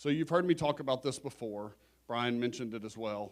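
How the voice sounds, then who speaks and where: The man speaks at a very fast pace. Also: very clean recording, silent background. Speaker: church finance team chair. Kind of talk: church finance presentation.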